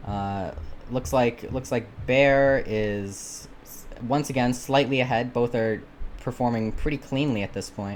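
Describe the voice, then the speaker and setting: A man's medium-pitched, plain, everyday voice with ordinary pitch variation. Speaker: shoutcaster auditioning. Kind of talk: live game commentary. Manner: casual, filler-heavy.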